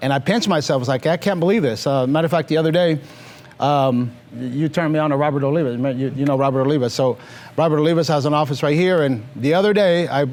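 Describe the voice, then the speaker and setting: A man with a fairly high pitch talks very fast amid noticeable background noise. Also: very even loudness. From Mexico, moved to Los Angeles area at five. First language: Spanish. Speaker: financial services business leader. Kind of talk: interview on stage.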